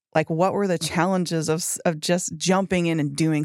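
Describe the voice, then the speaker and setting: The voice carries an American accent. Vocal fry runs through it. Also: woman. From Texas, Fort Worth. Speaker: marketing colleague acting as guest host. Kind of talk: casual interview chat. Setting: studio.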